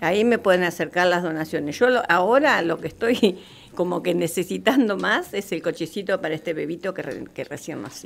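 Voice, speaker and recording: An ordinary speaking voice from a woman, fairly low in pitch with ordinary pitch variation. She talks at a fairly quick pace with big swings in loudness. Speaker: community soup kitchen organizer. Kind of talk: radio interview. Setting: radio studio.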